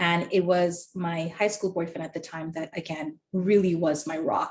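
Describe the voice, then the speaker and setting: A woman talks at a fairly low pitch. Her voice is somewhat breathy. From Trinidad. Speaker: webinar panelist sharing mental health story. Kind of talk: personal testimony. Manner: hesitant with frequent fillers.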